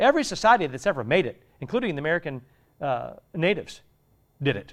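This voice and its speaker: Speaking at a very fast pace, a man has a fairly high pitch with very wide swings. Vocal fry runs through his voice. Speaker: pastor. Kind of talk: sermon. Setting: church. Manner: animated.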